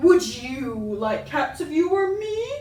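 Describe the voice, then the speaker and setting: A put-on character voice, shrill and extremely high, swings very widely in pitch at a fairly slow pace with a slight echo. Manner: passionate, indignant.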